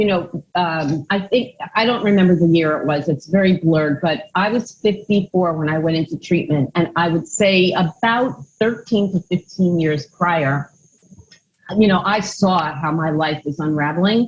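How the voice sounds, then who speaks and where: A somewhat breathy, fairly low-pitched woman at a moderate pace, with ordinary pitch variation. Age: 60s. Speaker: mental health counselor. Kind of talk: testimony.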